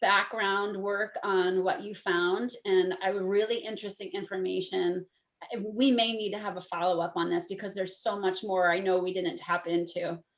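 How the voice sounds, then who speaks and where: A woman talks at a medium pitch with ordinary pitch variation. It is an unremarkable speaking voice. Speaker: podcast co-host. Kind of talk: casual chat.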